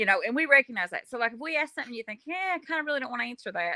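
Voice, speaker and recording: Very fast and with very wide pitch swings, a woman with a Kentucky accent speaks in a bright, sharp tone, the sound dry and close with no echo. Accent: Southern US (Kentucky). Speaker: paranormal podcast host. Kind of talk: casual interview.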